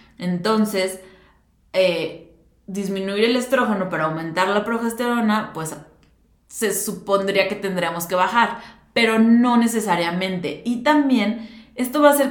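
There's audible room echo as a woman talks at a moderate pace with a fairly high pitch and ordinary pitch variation. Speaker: nutritionist podcast host. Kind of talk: solo educational talk.

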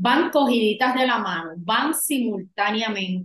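A woman with a Puerto Rican accent speaks at a fairly slow pace and a fairly high pitch. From Puerto Rico. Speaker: women's empowerment coach. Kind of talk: podcast interview.

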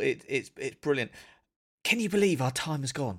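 In a very clean recording with a silent background, a man with a British accent talks at a fairly high pitch with lively intonation. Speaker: podcast host. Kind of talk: casual interview chat. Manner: hesitant, repeats words.

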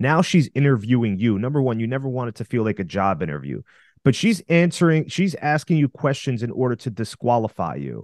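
Over a quiet background, a man at a medium pitch makes very wide pitch swings, the sound dry and close with no echo. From Russia. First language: Russian. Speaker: dating coach podcaster. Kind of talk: casual podcast advice.

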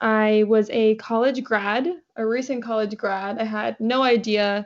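A woman's plain, everyday voice, fairly high in pitch, with fairly even intonation. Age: 20s. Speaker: manifestation coach. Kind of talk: interview conversation.

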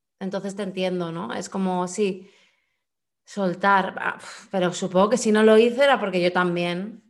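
A woman speaks at a moderate pace with a medium pitch and fairly even intonation. It is an ordinary speaking voice. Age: 30s. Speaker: podcast co-host. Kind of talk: casual chat.

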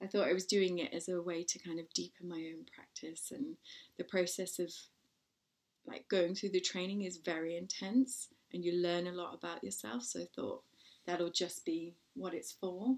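A woman with an English accent, fairly low in pitch, at a moderate pace with ordinary pitch variation. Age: 40s. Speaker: podcast host and parenting blogger. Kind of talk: casual chat.

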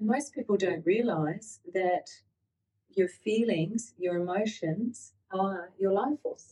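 Very slowly, a woman speaks at a medium pitch with ordinary pitch variation. Her voice is somewhat breathy with a dark, mellow tone. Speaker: podcast co-host. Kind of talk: podcast discussion.

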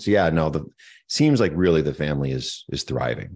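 Against a quiet background, a man with a Canadian accent talks at a moderate pace. His very deep, low voice carries vocal fry and lively intonation. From eastern Canada (Moncton, New Brunswick). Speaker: tech entrepreneur. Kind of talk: interview.

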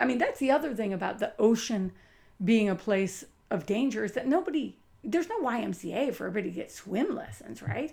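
A woman speaks at a fairly quick pace with a fairly high pitch and an animated tone. Her voice has vocal fry and very wide pitch swings. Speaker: lighthouse site manager. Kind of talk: casual chat.

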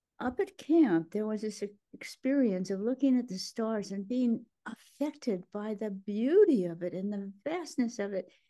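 This woman's fairly high voice has a dark, mellow tone and lively intonation. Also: moderate pace. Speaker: author and psychiatrist. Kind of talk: casual interview chat.

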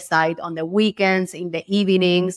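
The woman speaks with a Spanish accent and ordinary pitch variation. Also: dry, close sound with no echo, very clean recording, silent background.

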